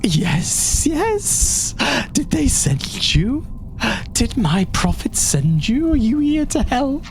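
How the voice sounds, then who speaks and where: A put-on character voice speaks at a very slow pace with a wheezy, fairly high pitch. Loud background noise runs behind it. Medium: actual play. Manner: fanatical, unhinged.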